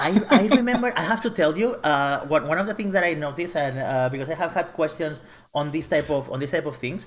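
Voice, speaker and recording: A man with a Catalan accent speaks at a very fast pace. His pitch is fairly high, with lively intonation. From Catalonia, Spain. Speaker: web developer. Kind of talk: casual interview. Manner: halting, many repetitions.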